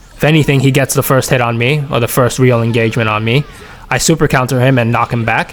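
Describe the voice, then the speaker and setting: A man's medium-pitched voice at a very fast pace, with fairly even intonation, over noticeable background noise. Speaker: gaming YouTuber. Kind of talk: gameplay commentary analysis. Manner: stuttering, repeats words; casual, conversational.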